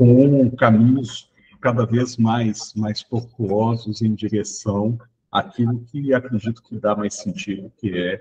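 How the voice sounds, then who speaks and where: A man at a medium pitch, somewhat breathy, at a very slow pace. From Brazil, Minas Gerais. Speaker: education researcher. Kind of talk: online training session introduction.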